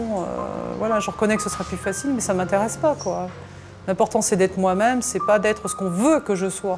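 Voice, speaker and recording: With noticeable background noise behind her, a woman talks at a very fast pace and shows ordinary pitch variation. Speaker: aspiring singer. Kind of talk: documentary interview. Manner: casual, hesitant with fillers.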